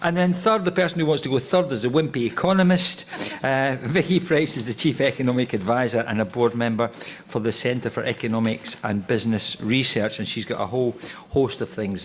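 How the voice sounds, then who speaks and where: Against noticeable background noise, the speaker talks at a fairly quick pace in a Scottish accent with lively intonation. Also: man. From Scotland. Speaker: panel chair, politician. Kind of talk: panel discussion introduction. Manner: casual, joking.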